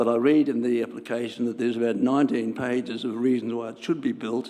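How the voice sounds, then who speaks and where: A man with an Australian accent talks at a fairly quick pace. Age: 80s+. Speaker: resident speaking at council meeting. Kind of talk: public submission. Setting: council chamber.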